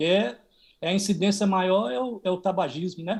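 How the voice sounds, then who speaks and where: A man talks in a high voice at a fairly slow pace, with ordinary pitch variation. The background is quiet. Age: 60s. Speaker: cancer patient. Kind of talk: testimony.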